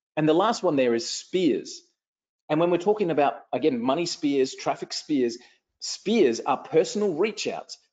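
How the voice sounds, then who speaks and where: A man talks at a moderate pace with an Australian accent. His high voice has an energetic tone and lively intonation. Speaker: online marketing trainer. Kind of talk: live webinar training. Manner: energetic, repetitive.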